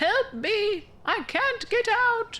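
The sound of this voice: A woman's squeaky, extremely high put-on character voice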